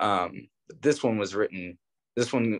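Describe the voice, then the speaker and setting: Against a quiet background, a man with an American accent speaks at a fairly low pitch and moderate pace with fairly even intonation. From Cleveland, Ohio (Old Brooklyn); Ohio. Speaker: drummer; podcast guest. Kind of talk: casual interview chat. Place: home room. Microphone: video call.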